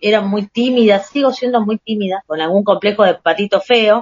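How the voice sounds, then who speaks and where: This woman has an unremarkable speaking voice pitched fairly high. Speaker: podcast co-host. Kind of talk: casual chat.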